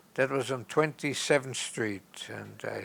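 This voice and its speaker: Speaking at a fairly slow pace, a man with a medium pitch lets vocal fry creep into his voice. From Austria. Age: 80s+. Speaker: film society founder and festival programmer. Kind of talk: interview answer.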